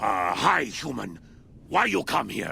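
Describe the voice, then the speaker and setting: A raspy, put-on character voice goes at a fairly slow pace over clear background noise. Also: man. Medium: video game. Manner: broken grammar, blunt.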